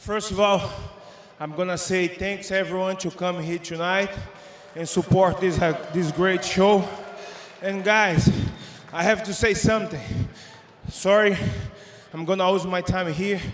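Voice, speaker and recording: A high-pitched man speaks fairly slowly in a monotone, flat way, with long, frequent pauses and noticeable background noise. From Brazil. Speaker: MMA fighter. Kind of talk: post-fight interview. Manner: halting.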